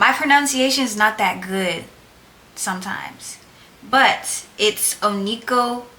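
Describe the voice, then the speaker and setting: Fairly slow speech with ordinary pitch variation sits over noticeable background noise. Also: woman, fairly high pitch for a woman. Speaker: nail technician YouTuber. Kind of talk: casual tutorial vlog. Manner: loud, projecting voice; casual, chatty. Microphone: no microphone, camera audio.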